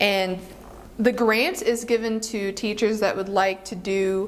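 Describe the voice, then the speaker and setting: There is noticeable background noise. The speech moves at a fairly slow pace. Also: woman. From Philippines. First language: Filipino. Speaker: middle school teacher. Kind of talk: interview.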